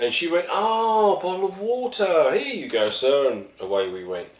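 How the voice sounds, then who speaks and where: At a moderate pace, a man talks while noticeable background noise plays behind him. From East London, England. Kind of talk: casual talk to camera.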